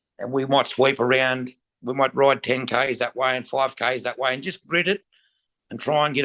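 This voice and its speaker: Talking very fast, a man with a rural Australian accent keeps his intonation fairly even. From Australia, western New South Wales. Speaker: stockman and sheepdog trainer. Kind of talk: interview. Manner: casual.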